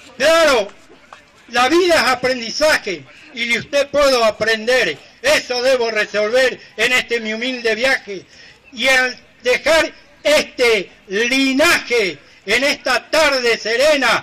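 This man's pitch is extremely high, with ordinary variation. He speaks very slowly in a raised, projected voice. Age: old. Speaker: folk improvising poet. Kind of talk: improvised verse duel. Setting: outdoors. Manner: measured rhymed verse. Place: stage.

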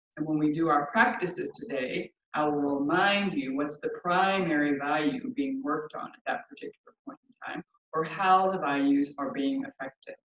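Against light background noise and audible room echo, a woman speaks at a moderate pace and fairly low pitch, with big swings in loudness. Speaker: yoga teacher. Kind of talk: class instruction. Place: home room. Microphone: camera far.

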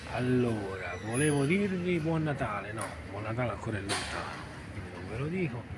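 A man with very wide pitch swings at a moderate pace, against loud background noise. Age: 40s. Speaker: vlogger. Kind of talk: casual vlog monologue; casual vlog chat. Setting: library. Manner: rambling, halting. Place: hall. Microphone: phone near.

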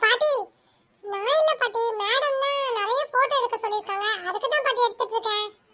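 A cartoonish character voice at an extremely high pitch and moderate pace. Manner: eager, repetitive.

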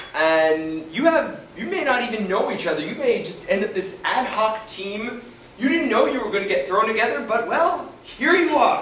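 A man talks at a moderate pace, his pitch swinging very widely. Light background noise and audible room echo surround him. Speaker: lecturer. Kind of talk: lecture. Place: hall. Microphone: camera far.

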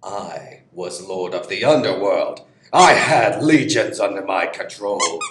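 A man in a cartoonish character voice at a fairly slow pace. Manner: haughty, commanding, angry.

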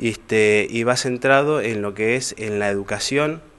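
A man's fairly low-pitched voice with fairly even intonation, in a Rioplatense accent. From Argentina, Moreno (Buenos Aires province); Buenos Aires province, Argentina. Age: 30s. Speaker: local political candidate; candidate. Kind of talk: interview. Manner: halting, many fillers. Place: studio. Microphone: handheld.

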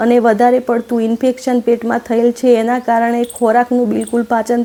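A woman is speaking. Her pitch is high. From Gujarat, Aravalli district. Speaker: primary school teacher. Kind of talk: testimony.

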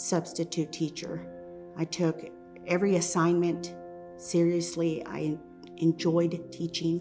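Clear music sounds in the background as a woman speaks at a very slow pace. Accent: American. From Texas, USA. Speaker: storyteller. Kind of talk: personal storytelling, first-person narration. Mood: reflective, earnest. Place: home room. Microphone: lapel.

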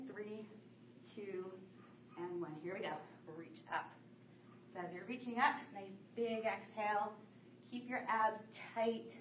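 Speaking at a fairly slow pace, a woman uses ordinary pitch variation, with light background noise and audible room echo around her. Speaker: fitness instructor. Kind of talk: workout instruction. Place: gym. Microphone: camera far.

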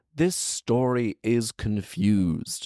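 Over a quiet background, a man's voice comes through in a dry sound with no echo. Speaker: storyteller, commentator. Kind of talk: story reading with comic commentary. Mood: playful, mock exasperated. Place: home room. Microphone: handheld.

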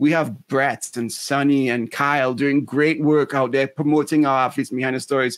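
Against a quiet background, a man talks in a fairly high, flat monotone with hardly any pauses. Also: moderate pace, dry sound with no echo. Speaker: podcast co-host. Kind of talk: casual interview. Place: home room. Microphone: video call.

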